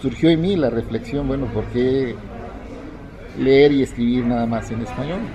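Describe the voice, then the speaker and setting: A man speaks at a moderate pace with ordinary pitch variation and long, frequent pauses. Noticeable background noise and audible room echo fill the recording. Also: medium pitch for a man. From Mexico, Isthmus of Tehuantepec, Oaxaca. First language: Zapotec (speaking Spanish). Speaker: poet. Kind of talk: interview. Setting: book fair.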